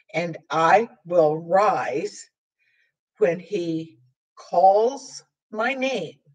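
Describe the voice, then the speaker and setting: Against a quiet background, a woman speaks very slowly with lively intonation and long, frequent pauses. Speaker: sign language teacher. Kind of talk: tutorial. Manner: halting, with frequent fillers.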